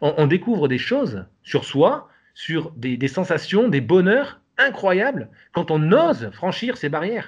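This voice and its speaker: Speaking at a very slow pace, a man's high-pitched voice moves through very wide pitch swings. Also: quiet background. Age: 40s. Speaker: salaried employee developing a side project. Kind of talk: interview conversation. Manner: hesitant, many fillers.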